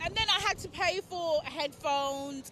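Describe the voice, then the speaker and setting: In an English accent, a woman raises and projects her voice with lively intonation over noticeable background noise. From England. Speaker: festival-goer interviewed on the street. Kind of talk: street interview. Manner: casual, chatty.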